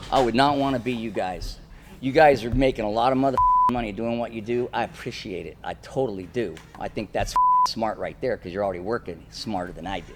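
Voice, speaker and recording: A man speaks fairly quickly at a medium pitch, with an animated tone and ordinary pitch variation. Background noise is noticeable. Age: 60s. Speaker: debate participant. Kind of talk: heated debate.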